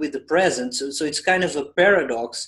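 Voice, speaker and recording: With a Portuguese accent, a man talks at a moderate pace. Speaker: spiritual channeler. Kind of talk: group discussion Q&A. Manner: hesitant, repetitive.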